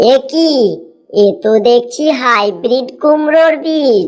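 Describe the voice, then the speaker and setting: The speaker uses a cartoonish character voice with lively intonation. The pace is fairly slow. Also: woman, high pitch for a woman. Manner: homely, warm.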